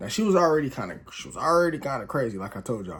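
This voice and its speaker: A man is speaking. He talks at a very fast pace. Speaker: YouTuber telling personal stories. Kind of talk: casual story time monologue. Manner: casual, slangy.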